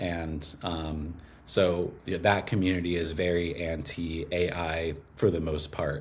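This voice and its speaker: Audible room echo surrounds a man whose voice is very deep and low. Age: 20s. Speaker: copywriter and musician. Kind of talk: casual interview conversation. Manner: many fillers, hesitant.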